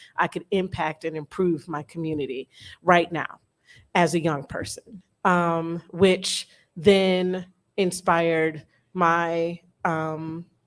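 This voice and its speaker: With a Detroit accent, a woman speaks very slowly at a fairly low pitch, with long, frequent pauses and monotone, flat intonation. Her loudness swings widely, and the recording is very clean with a silent background. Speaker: educator. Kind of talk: panel talk. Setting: room with live audience.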